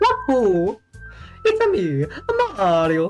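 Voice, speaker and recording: A put-on character voice at a fairly high pitch plays over faint music in the background. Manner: exaggerated cartoonish.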